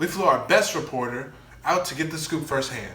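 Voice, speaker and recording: Noticeable noise sits behind the voice. The talking is moderately paced, and its pitch varies in an ordinary way. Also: man. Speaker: news anchor (comedic parody). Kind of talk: news anchor delivery.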